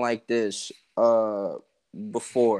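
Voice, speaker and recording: The recording of this man is very clean, with nothing audible behind him. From Atlanta, Georgia, US South. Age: 20s. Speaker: rapper and music producer. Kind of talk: casual chat.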